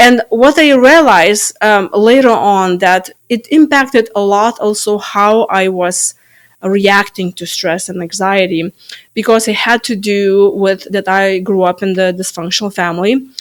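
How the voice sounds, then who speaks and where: In a Lithuanian accent, a woman speaks at a fairly slow pace with a medium pitch and ordinary pitch variation. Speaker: stress management coach. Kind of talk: interview. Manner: halting.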